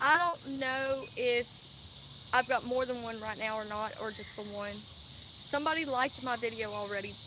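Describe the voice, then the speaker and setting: With an American accent, a woman talks at a moderate pace in a high pitch with ordinary pitch variation. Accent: Southern US, Cajun-Texan. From Louisiana and Texas. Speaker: vlogger. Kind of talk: casual livestream monologue. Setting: live stream.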